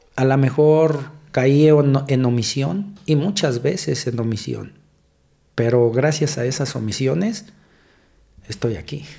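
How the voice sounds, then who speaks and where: A man's medium-pitched, dark, mellow, somewhat breathy voice at a very slow pace, with long, frequent pauses and audible room echo. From Mexico City. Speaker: police officer. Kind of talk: casual interview. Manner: halting.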